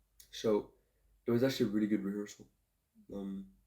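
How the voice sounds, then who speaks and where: A man mumbles very fast at a fairly low pitch. His tone is dark and mellow, his intonation flat and monotone. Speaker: singer-songwriter vlogger. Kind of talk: casual vlog. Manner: mumbling.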